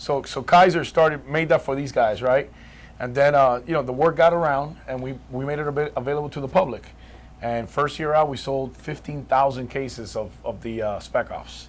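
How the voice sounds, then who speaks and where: A man with a plain, everyday voice speaks at a moderate pace, his fairly high pitch moving with ordinary variation. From Cuba, raised in New Jersey and Miami. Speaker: cigar company executive. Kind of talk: casual interview. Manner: casual, with many fillers and repetitions.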